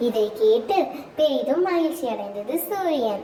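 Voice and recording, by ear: The voice has a dark, mellow tone and big pitch swings at a fairly slow pace. Audible room echo surrounds it.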